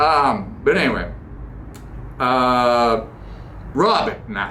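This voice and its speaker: A man with a Boston accent and a medium pitch, with audible room echo. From US Northeast, Boston. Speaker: podcast host. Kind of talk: casual monologue. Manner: animated.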